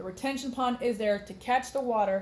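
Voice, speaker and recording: A woman with a slight Texas accent, in audible room echo. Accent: Texas drawl, slight. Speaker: science teacher. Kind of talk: lecture. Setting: recorded on computer. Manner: animated; casual.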